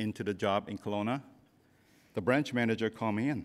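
A man in a Cantonese accent at a moderate pace. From Hong Kong. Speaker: convocation keynote speaker, business leader; keynote speaker. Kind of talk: commencement speech. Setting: stage with audience. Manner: humorous. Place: hall. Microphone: podium.

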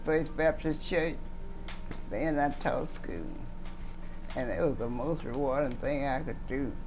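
Speaking at a fairly slow pace, a woman with a Southern US accent is heard over noticeable background noise. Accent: Southern American. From Mississippi. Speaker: retired teacher. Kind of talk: interview answer. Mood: warm, reminiscing. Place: home room.

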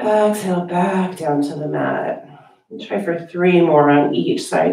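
A soft-spoken woman talks at a fairly slow pace with big swings in loudness, with audible room echo over a quiet background. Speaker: yoga teacher. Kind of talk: guided meditation. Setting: online yoga class video. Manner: calm, soothing, slow and gently paced; soft-spoken, with long pauses between cues. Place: home room. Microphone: camera far.

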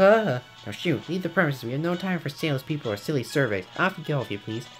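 Clear music plays behind a man doing a put-on character voice. It is squeaky and fairly high in pitch, delivered at a very fast pace. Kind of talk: stiff, formal. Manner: brusque, officious, dismissive.

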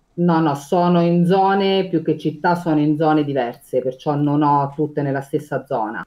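A woman's very deep, low pitch at a moderate pace, with hardly any pauses, very even loudness and ordinary pitch variation. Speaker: condominium administrator. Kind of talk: interview, casual chat. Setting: video call. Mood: warm, content. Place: home room. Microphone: video call.

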